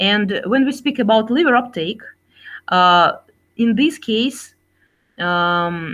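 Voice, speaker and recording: Very slow speech in a Russian accent, with very wide pitch swings over a quiet background. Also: woman. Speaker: scientist and executive. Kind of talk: Q&A after a keynote lecture. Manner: halting, many fillers.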